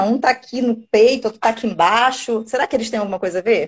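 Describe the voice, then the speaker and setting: Her intonation lively, a woman talks at a very fast pace. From Rio de Janeiro, Brazil. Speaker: nephrologist and medical teacher. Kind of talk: live stream medical conversation. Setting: online live stream.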